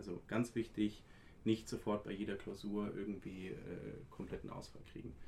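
A man speaks with an unremarkable speaking voice. His pitch is fairly low, with ordinary pitch variation. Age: 20s. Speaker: law student. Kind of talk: casual interview.

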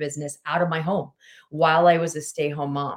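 A woman talks fairly quickly in a normal speaking voice. Her pitch is fairly low and her intonation fairly even. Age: 40s. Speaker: weight loss coach. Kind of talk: casual chat.

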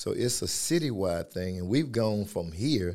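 This man has a fairly low pitch and a dark, mellow tone. He speaks with an American accent. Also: very clean recording, silent background. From Georgia, US South. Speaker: baseball coach. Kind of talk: casual chat. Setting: studio.

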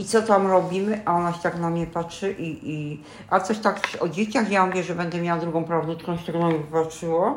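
Over noticeable background noise, a woman talks at a moderate pace with a fairly low pitch and fairly even intonation. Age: 60s. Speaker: grandmother, retiree. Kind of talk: casual chat. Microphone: poor built-in mic, low quality.

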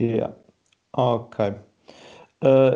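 A man speaks at a medium pitch in a dark, mellow tone with fairly even intonation. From Portugal, Porto. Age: 20s. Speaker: university student, podcast moderator. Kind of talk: moderating a casual debate. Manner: hesitant.

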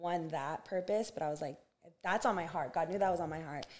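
Speaking with an American accent, a woman has a fairly low pitch, a dark, mellow tone and ordinary pitch variation. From US West Coast, Santa Barbara, California. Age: 20s. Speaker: basketball coach, former pro player. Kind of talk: casual interview.

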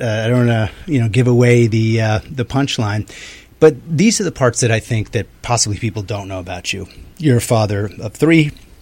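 Speaking at a moderate pace, a man uses an ordinary speaking voice at medium pitch. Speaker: radio talk show host. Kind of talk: radio interview and discussion. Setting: radio studio.

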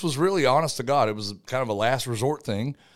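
A man with a plain, everyday voice and medium pitch talks at a fairly quick pace with lively intonation on a very clean recording with a silent background. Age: 40s. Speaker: retired soldier and college golfer. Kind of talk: casual interview chat.

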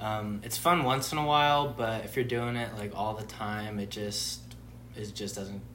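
A man with an American accent speaks at a moderate pace, fairly low in pitch with ordinary pitch variation. Audible room echo and noticeable background noise surround him. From Southern California, Santa Clarita. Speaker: college student. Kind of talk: casual chat.

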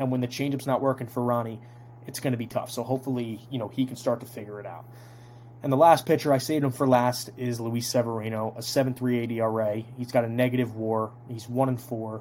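Speaking in an American accent at a fairly quick pace, a man keeps a medium pitch and a flat, monotone delivery. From New Jersey (Toms River). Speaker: sports podcast host. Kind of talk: casual solo sports analysis podcast.

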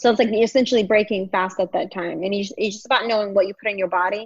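With an American accent, a woman uses a plain, everyday voice at a medium pitch and fairly even intonation. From Longview, Texas. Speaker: stand-up comedian. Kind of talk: casual interview chat. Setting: video call.

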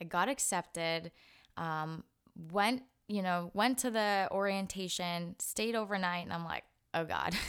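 A woman's medium-pitched voice at a fairly slow pace, with ordinary pitch variation, on a very clean recording with a silent background. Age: 20s. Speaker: podcast host, real estate advisor. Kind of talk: personal monologue podcast. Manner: casual, halting with fillers.

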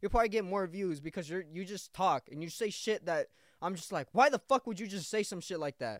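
Recorded very cleanly with a silent background and a dry, close sound with no echo, a man speaks at a very fast pace in a high voice with lively intonation. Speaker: podcaster. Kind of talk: casual solo podcast, with an angry, profane rant aimed at an ex. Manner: loud, aggressive, ranting, with heavy profanity and repeated 'bro'; casual, rambling, repeating phrases.

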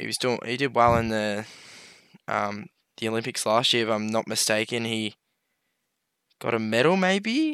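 At a moderate pace with long, frequent pauses, a man speaks at medium pitch with ordinary pitch variation and a bright, sharp tone, on a very clean recording against a silent background. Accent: Australian. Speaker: podcast co-host. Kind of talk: casual chat.

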